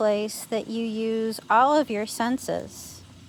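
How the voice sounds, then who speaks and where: Soft-spoken and fairly high-pitched, a woman talks very slowly with fairly even intonation. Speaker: meditation guide. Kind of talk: guided meditation. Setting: outdoors.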